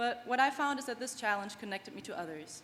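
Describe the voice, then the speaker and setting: Very fast speech with noticeable background noise and audible room echo. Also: woman. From Germany, small town. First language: German. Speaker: graduating student athlete. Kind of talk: commencement speech. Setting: stage with audience.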